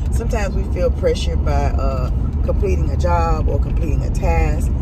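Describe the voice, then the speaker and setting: A woman's voice sounds dry with no echo, against loud background noise. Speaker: vlogger. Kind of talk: casual vlog chat. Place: car. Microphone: phone near.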